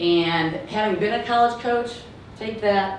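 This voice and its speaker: A woman with a slight Southern US accent talks at a moderate pace with lively intonation. The room echo is audible, and there is noticeable background noise. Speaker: entrepreneur and former college coach. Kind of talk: startup pitch.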